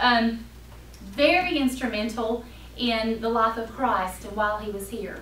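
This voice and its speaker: A woman with a North Carolina accent talks at a fairly slow pace in a fairly high pitch. Noticeable background noise and audible room echo surround her voice. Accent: Southern US (North Carolina). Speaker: Sunday school teacher. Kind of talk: Bible lesson.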